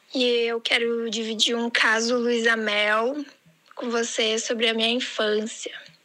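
The speech is very slow, with monotone, flat intonation. Audible room echo and noticeable background noise fill the recording. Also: woman, fairly high pitch for a woman. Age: 20s. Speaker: listener sending audio messages. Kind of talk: recorded voice message. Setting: pre-recorded audio played on the show.

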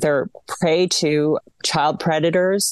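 A woman's fairly low, fairly even voice, a normal speaking voice, at a fairly slow pace, with a dry, close sound and no echo. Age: 40s. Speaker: media watchdog advocate. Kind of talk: radio interview.

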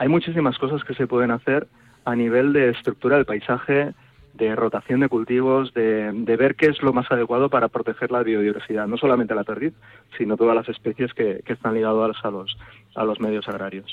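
Speaking at a fairly quick pace, a man uses a plain, everyday voice at medium pitch with ordinary pitch variation. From Toro, Zamora, Spain. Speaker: university researcher. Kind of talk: radio interview.

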